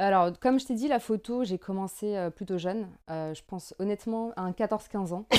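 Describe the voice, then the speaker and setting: A woman at a moderate pace and medium pitch, with ordinary pitch variation and a dark, mellow tone, in a very clean recording over a silent background. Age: 20s. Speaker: visual artist. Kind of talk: casual interview chat.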